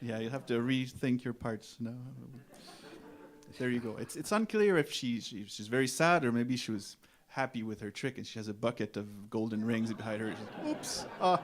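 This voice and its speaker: At a moderate pace, the speaker talks in a Quebec accent with ordinary pitch variation. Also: man, medium pitch for a man. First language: French. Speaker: folk musician. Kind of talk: stage banter. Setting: stage with audience. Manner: halting.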